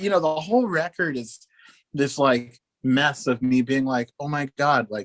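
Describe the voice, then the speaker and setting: A man's fairly high, animated voice at a fairly slow pace with ordinary pitch variation, in a dry, close sound with no echo. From Oklahoma, US (military family, moved around). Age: 30s. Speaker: musician. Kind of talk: interview. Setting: video call.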